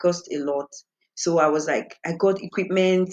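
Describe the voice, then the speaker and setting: A woman's fairly low voice with a Nigerian accent and ordinary pitch variation. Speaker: singer. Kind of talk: interview. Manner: animated.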